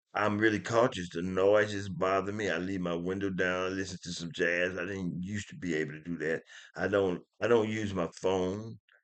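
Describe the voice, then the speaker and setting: Mumbling at a moderate pace with hardly any pauses, a man speaks at a very deep, low pitch with fairly even intonation. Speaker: stroke survivor vlogger. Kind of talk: casual vlog monologue. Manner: mumbling, low volume; halting, with restarts.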